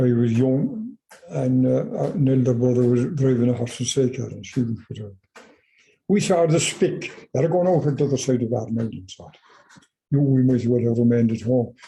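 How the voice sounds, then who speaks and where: A man speaks at a medium pitch with a dark, mellow, somewhat breathy tone. His pace is moderate, with long, frequent pauses. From Ireland. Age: 80s+. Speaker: farmer. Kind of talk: oral history interview answer.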